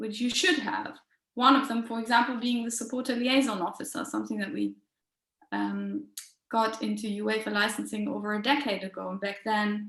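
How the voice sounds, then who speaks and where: A woman's fairly high, ordinary speaking voice at a moderate pace, with ordinary pitch variation; an ordinary speaking voice. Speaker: football supporters' organisation representative. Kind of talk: online workshop presentation.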